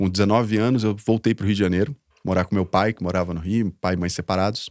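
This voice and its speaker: A man speaks at a fairly low pitch with ordinary pitch variation. The sound is dry and close, with no echo. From southern Brazil, interior of Paraná (Londrina). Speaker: social entrepreneur, founder. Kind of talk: interview, life story. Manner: talkative, casual.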